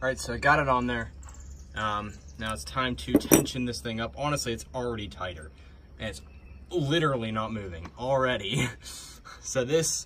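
A man speaks at a moderate pace, leaving long, frequent pauses. His loudness swings widely, and background noise is noticeable. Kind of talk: tutorial. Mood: relaxed, amused. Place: garage. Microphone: phone near.

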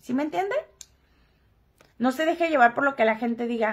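Against a quiet background, a woman talks in an animated way, her bright, sharp tone rising and falling with lively intonation. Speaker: gossip livestream host; gossip vlogger. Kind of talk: casual livestream chat. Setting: live stream. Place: home room. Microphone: headset.

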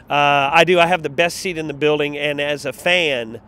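Loud and animated, a man with a fairly high pitch and a bright, sharp tone comes through with a dry sound with no echo and light background noise. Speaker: arena public address announcer. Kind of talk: interview answer. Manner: loud, animated. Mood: warm, enthusiastic. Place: street. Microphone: handheld.

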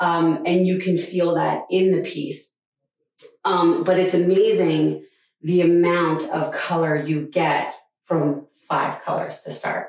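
The speech comes at a very slow pace with fairly even intonation and audible room echo. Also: woman, fairly low pitch for a woman. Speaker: gallery host interviewing an artist. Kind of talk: casual interview. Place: hall.

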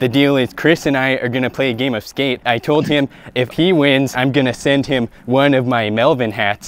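A man speaks at a moderate pace with fairly even intonation and hardly any pauses. The sound is dry, with no echo. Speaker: vlogger hosting a game. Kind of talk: casual vlog chat. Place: street.

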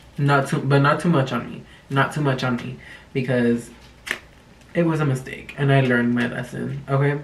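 A man's fairly high voice with fairly even intonation at a moderate pace, over light background noise. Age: 20s. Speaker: youtuber. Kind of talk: casual vlog talk to camera. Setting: home recording, talking to camera. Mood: sassy, joking, dramatic. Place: home room.

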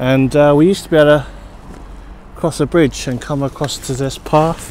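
A man at a moderate pace, dry with no echo, over light background noise. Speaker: cyclist vlogger. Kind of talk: casual vlog chat. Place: open country. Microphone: phone near.

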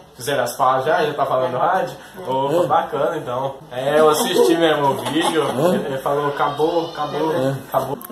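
The speech moves at a moderate pace with fairly even intonation, set against noticeable background noise. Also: man, fairly high pitch for a man. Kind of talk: interview question, casual radio-style chat. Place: home room.

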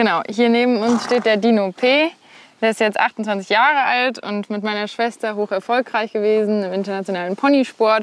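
A woman speaks at a moderate pace with fairly even intonation, and the sound is dry with no echo. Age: 20s. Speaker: equestrian rider and student; host showing her family's horses. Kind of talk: interview. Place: farm. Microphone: lapel.

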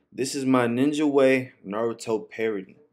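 A man's voice, with ordinary pitch variation, comes through over a quiet background. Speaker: reaction video creator. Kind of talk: casual reaction commentary. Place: home room.

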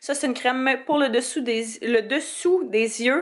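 A woman speaks in a high voice with ordinary pitch variation over light background noise. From Quebec. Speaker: beauty YouTuber. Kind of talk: tutorial. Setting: home office. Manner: animated. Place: home room. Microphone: phone near.

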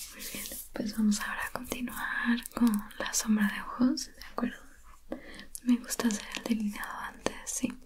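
A woman whispers at a moderate pace. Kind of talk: soft roleplay talk to viewer. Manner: soft, calm ASMR narration. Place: home room.

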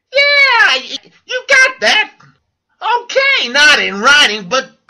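In a put-on character voice, a man squeaks at an extremely high pitch. He speaks at a very slow pace. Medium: audio drama.

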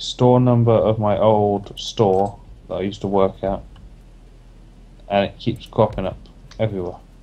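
A man speaks at a fairly slow pace. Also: long, frequent pauses. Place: home room. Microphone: headset.

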